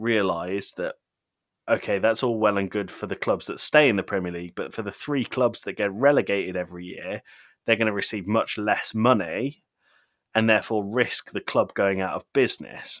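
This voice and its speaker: A man's fairly low voice at a moderate pace with ordinary pitch variation, dry and close with no echo, on a very clean recording with a silent background. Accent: British. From Britain. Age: 30s. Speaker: podcast guest, gaming podcaster and father. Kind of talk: casual chat.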